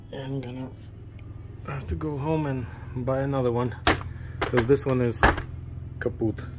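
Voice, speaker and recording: Speech at a moderate pace comes through over loud background noise. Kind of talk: casual vlog chat. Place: boat. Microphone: phone near.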